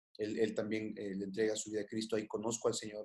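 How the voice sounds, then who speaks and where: A man's voice with a dark, mellow tone. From Mexico, Guadalajara. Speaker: pastor. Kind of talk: interview. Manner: halting.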